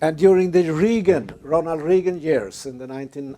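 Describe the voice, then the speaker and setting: A man talks with a Swedish accent. His tone is dark and mellow, and his pitch varies in an ordinary way. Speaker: lecturer. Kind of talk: lecture.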